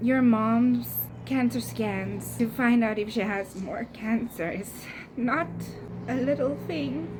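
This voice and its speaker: A soft-spoken woman at a very slow pace, over noticeable background noise. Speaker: lifestyle vlogger. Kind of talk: casual vlog chat. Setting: outdoors on a balcony.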